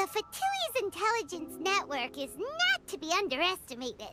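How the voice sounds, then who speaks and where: A squeaky, put-on character voice sits at an extremely high pitch. Loud background noise runs behind it. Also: moderate pace. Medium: video game. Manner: bright, excitable.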